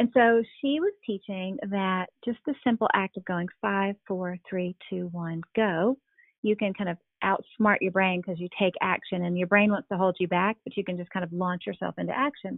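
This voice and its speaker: The speaker talks at a moderate pace with ordinary pitch variation. It is an unremarkable speaking voice. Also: woman, medium pitch for a woman. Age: 40s. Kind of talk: interview.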